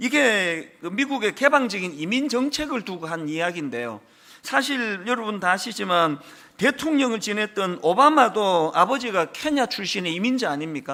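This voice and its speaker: A man projects a raised, high-pitched voice with a bright, sharp tone. His pitch swings very widely at a moderate pace. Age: 60s. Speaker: pastor. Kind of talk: sermon. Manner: conversational, with fillers.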